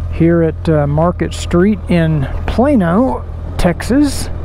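There is light background noise behind a man. His voice sounds dry, with no echo. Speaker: motovlogger. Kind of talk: casual vlog chat. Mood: relaxed, friendly. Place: motorbike.

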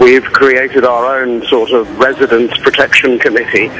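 Behind this man's speech there is light background noise. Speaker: interviewee. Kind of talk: interview answer.

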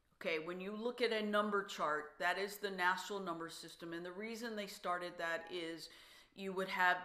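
A woman speaks at a medium pitch with a bright, sharp yet warm tone and fairly even intonation. The background is quiet, though some room echo can be heard. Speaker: songwriter and songwriting workshop leader. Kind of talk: online workshop talk. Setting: video call. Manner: warm and encouraging. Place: studio.

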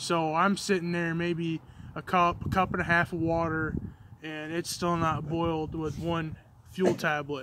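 In a dry recording with no echo and noticeable background noise, a man talks at a fairly slow pace in a high pitch. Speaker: outdoor gear reviewer. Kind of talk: casual review chat. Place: open country. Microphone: phone near.

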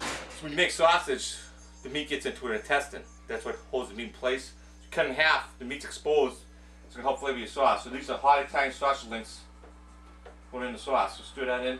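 Spoken at a very fast pace, the voice carries audible room echo. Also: man. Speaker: home cooking show host. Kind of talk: casual cooking tutorial. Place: kitchen. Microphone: camera far.

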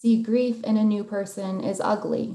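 A woman speaks at a moderate pace with a fairly high pitch and a dark, mellow tone. Her intonation stays fairly even, and audible room echo surrounds her voice. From South Dakota. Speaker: poet. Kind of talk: poetry reading; panel discussion. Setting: video call. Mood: warm, reflective, some laughter. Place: home room. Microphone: video call.

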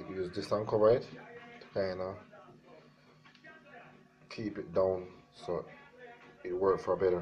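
A man with a Jamaican accent and a very deep, low voice, speaking at a fairly slow pace over music in the background. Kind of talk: DIY tutorial talk to camera. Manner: casual.

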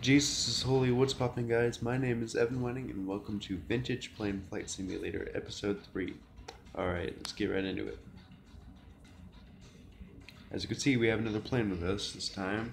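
Faint music plays in the background as a man speaks with long, frequent pauses and ordinary pitch variation. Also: moderate pace. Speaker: gamer. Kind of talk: casual gameplay commentary. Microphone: phone near.

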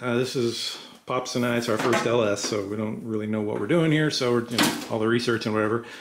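There is light background noise. A man is speaking over it. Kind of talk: casual vlog chat. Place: garage.

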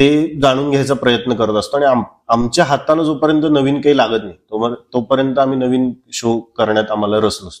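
A man's medium-pitched voice moves with ordinary pitch variation against a quiet background. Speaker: film actor. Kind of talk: casual interview chat. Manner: soft-spoken; calm, gentle. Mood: reflective, earnest. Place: home room. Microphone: lapel.

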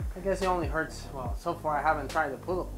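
A man talks over clear music playing in the background. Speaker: fitness vlogger. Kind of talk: casual vlog chat. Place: garage. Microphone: lapel.

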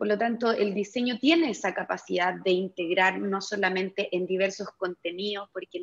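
A woman with a medium-pitched voice speaks at a fairly slow pace over a quiet background. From Chile. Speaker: panel moderator, design educator. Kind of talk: panel discussion moderation. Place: office. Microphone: earbuds.

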